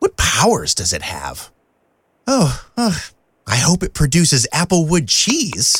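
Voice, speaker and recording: Cartoonish character voice at middle pitch, fairly slow pace. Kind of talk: comic overacting. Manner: vain, playful, excitable.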